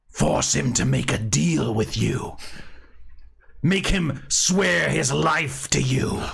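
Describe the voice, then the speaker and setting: A man puts on a growling character voice at medium pitch. He speaks at a very slow pace. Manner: persuasive.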